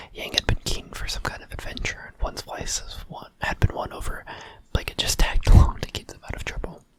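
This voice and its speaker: Someone whispers over noticeable background noise. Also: fairly quick pace. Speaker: ASMR creator. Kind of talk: ASMR fanfiction reading. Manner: soft, relaxed ASMR narration.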